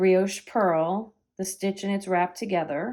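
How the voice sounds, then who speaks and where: A woman with an American accent and a medium pitch speaks at a fairly slow pace with fairly even intonation, on a very clean recording with a silent background. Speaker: knitting teacher and yarn shop owner. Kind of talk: tutorial. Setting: at home.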